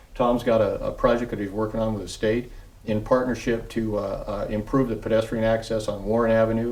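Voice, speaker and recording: Room echo is audible around this man's voice. He talks at a fairly quick pace. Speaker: city public works official. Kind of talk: TV interview. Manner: fast; halting, many fillers.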